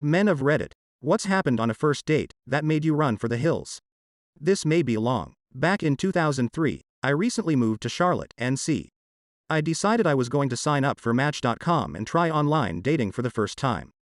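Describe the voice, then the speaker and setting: Growling at a fairly quick pace, a man with a fairly high pitch uses lively intonation, recorded with a dry, close sound with no echo against a quiet background. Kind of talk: comic story reading. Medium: read story. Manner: wry, conversational.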